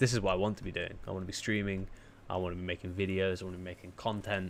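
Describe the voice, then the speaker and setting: Someone with a British accent speaks at a very fast pace. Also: man, very deep, low pitch for a man. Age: 20s. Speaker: streamer. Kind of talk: casual chat. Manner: animated.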